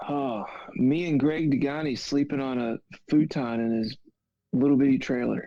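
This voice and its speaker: At a moderate pace, a man with a fairly high pitch uses fairly even intonation and a normal speaking voice. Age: 30s. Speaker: RC car racer. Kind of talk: casual interview chat.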